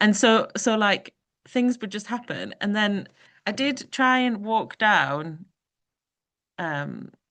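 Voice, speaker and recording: In a Geordie accent, a woman speaks very slowly with lively intonation and a bright, sharp tone, leaving long, frequent pauses against a quiet background. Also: medium pitch for a woman. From northern England, Newcastle (Geordie). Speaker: performance artist. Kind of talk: panel discussion. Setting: video call.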